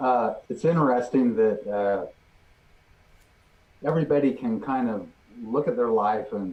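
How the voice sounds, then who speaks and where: A man with an American accent at a fairly slow pace. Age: 60s. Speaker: group member sharing experience. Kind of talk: group discussion, personal sharing. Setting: live online show. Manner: hesitant, repeats words.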